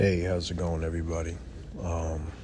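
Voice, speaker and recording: A man speaks quietly in a very deep, low voice. The room echo is audible, and background noise is noticeable. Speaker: YouTube commentator. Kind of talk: casual commentary vlog. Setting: library. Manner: quiet, talking low.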